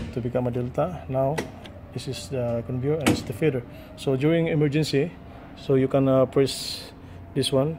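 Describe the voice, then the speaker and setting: Loud background noise sits under speech delivered at a moderate pace with long, frequent pauses. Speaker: technician explaining panel. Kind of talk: tutorial. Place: factory. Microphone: phone near.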